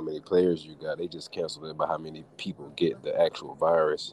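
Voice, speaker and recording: A man speaks at a moderate pace. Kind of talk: casual chat. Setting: remote call from Istanbul.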